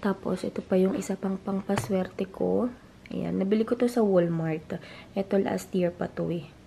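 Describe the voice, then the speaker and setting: This woman's tone is dark and mellow. There is a somewhat breathy quality to it. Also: medium pitch for a woman, ordinary pitch variation, moderate pace. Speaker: family vlogger. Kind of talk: casual vlog talk. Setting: at home.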